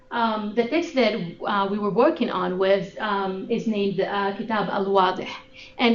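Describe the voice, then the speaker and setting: A woman with an Arabic accent speaks at a moderate pace and medium pitch with ordinary pitch variation, amid noticeable background noise and audible room echo. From Sudan, Khartoum. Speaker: graduate student researcher. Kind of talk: research presentation. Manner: halting, many fillers.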